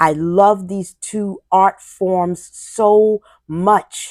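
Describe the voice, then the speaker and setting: A woman at medium pitch talks in an American accent. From New York City. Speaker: podcast host. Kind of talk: personal monologue. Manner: pauses and filler words while searching for words.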